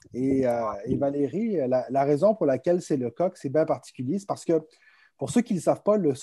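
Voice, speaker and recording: Against a quiet background, a man talks at a fairly quick pace. His pitch is fairly high, with ordinary pitch variation. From France. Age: 30s. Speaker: entrepreneur, public relations firm president. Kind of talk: virtual conference interview. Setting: video call.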